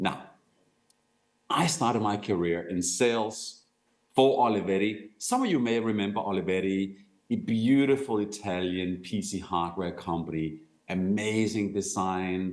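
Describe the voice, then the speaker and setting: With a Danish accent, the speaker talks at a fairly slow pace with ordinary pitch variation, and room echo is audible. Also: man, fairly low pitch for a man. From Denmark. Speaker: company executive, sales speaker. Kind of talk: conference talk.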